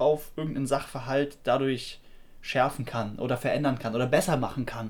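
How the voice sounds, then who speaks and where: The man's fairly high voice moves at a moderate speed. Its pitch varies in an ordinary way. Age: 20s. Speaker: podcast co-host, software worker. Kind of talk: casual chat.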